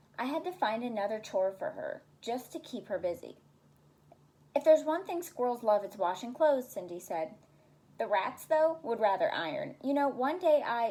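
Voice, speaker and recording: Moving at a moderate pace, a woman speaks at a high pitch with very wide pitch swings. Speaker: special education intervention specialist. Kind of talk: children's story reading.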